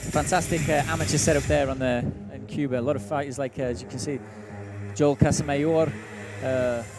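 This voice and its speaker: A man with a Mancunian accent and medium pitch speaks at a fairly quick pace with ordinary pitch variation and long, frequent pauses, amid audible room echo and music in the background. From northern England, Manchester. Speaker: MMA interviewer. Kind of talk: interview.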